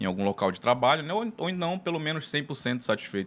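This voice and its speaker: The speaker is a man with a northern Brazilian accent. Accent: northern Brazilian Portuguese (Pará). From Pará, Brazil (Belém). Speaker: tax lawyer and consultant. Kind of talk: casual interview.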